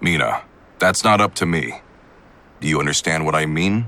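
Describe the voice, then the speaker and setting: A man growls in a put-on character voice with very deep, low pitch. He keeps a moderate pace and ordinary pitch variation. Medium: video game. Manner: calm, earnest.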